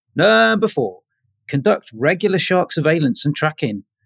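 In a very clean recording with a silent background and a dry, close sound with no echo, a man with a fairly high pitch and vocal fry speaks at a moderate pace with very wide pitch swings. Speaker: podcast panelist. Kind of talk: casual chat.

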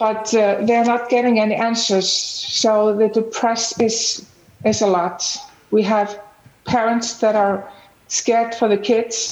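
Over noticeable background noise, a woman with an Icelandic accent speaks at a very slow pace in a fairly high, monotone voice with flat intonation and very even loudness. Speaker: parent and nonprofit founder. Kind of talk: panel discussion. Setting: video call.

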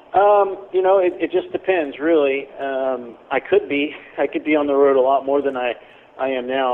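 A man with an American accent and ordinary pitch variation, with noticeable background noise. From Missouri, near Kansas City. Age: 30s. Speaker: professional wrestler. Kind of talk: casual interview. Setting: phone call.

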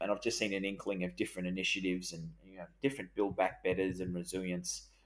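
The recording is very clean, with a silent background. A man with an Australian accent speaks fairly quickly in a very deep, low voice. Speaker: podcast host. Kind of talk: podcast discussion about finance.

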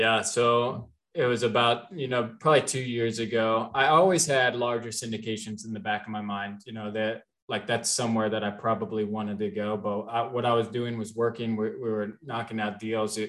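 A man with an American accent talks in a normal speaking voice at a medium pitch and moderate pace. He uses fairly even intonation and hardly any pauses. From US Midwest, Cincinnati, Ohio. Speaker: multifamily real estate investor. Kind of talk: podcast interview.

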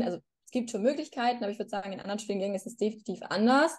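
A woman's fairly high voice with a dark, mellow tone, fairly even intonation and a very fast pace. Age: 20s. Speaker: law graduate and social media creator. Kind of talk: casual chat.

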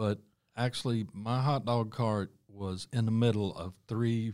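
A man with a North Carolina accent speaks at a fairly low pitch. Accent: US Southern (North Carolina). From Charlotte, North Carolina. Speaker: restaurant owner and chef. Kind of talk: casual interview.

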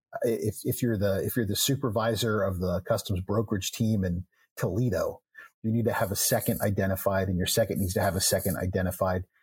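On a very clean recording with a silent background, a man speaks at a fairly quick pace with a fairly low pitch, fairly even intonation and a somewhat breathy sound. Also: very even loudness. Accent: American. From Texas. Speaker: trade podcast host. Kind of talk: casual chat. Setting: studio.

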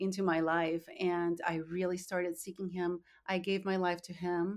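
A woman speaks in a Spanish accent at a fairly low pitch. Her intonation is monotone and flat. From Colombia (Bogotá). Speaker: nonprofit founder. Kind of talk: interview.

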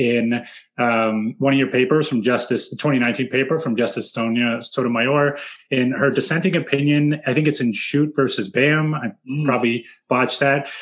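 A man with an American accent, a normal speaking voice at medium pitch, and ordinary pitch variation. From San Francisco, US West Coast. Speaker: podcast host, former teacher. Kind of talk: casual chat.

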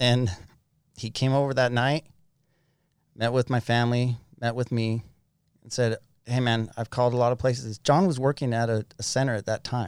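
A man with an American accent speaks at a moderate pace in a medium pitch, his intonation fairly even and broken by long, frequent pauses. The recording is very clean, with a silent background and a dry, close sound free of echo. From Utah. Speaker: person in addiction recovery, business owner. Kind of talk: testimony.

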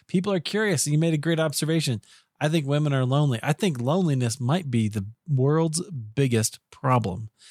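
Lively in intonation, a man with a Midwestern American accent talks at a fairly quick pace. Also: fairly high pitch for a man. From US Midwest, Iowa. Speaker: podcast host. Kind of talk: podcast interview. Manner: friendly, professional.

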